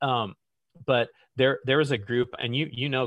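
A man speaks at a moderate pace with an American accent. His intonation stays fairly even. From US Midwest, central Illinois. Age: 40s. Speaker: business leader. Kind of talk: interview conversation.

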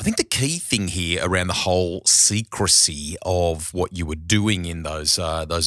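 A man in an Australian accent, bright and sharp in tone, at a moderate pace with ordinary pitch variation, dry and close with no echo, on a very clean recording with a silent background. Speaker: motoring podcast host. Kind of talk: casual chat. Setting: studio.

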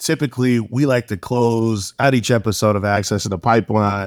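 In a very clean recording with a silent background, a man with an ordinary speaking voice talks at a moderate pace, fairly low in pitch with fairly even intonation. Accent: American. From Savannah, Georgia, US South. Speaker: podcast host, law firm partner. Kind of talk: podcast interview.

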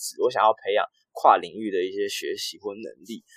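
Speaking fairly quickly, a man comes across in a dry, close sound without any echo. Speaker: podcast host. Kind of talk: casual chat.

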